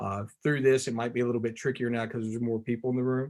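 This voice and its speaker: Medium pitch from a man with a Tennessee accent. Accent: Southern US (Tennessee). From US South, Tennessee. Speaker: visual artist. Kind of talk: artist talk presentation. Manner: fast; animated.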